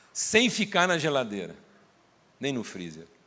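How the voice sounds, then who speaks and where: At a fairly slow pace, a man with a medium pitch lets his voice swing very widely up and down. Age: 60s. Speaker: pastor. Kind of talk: sermon.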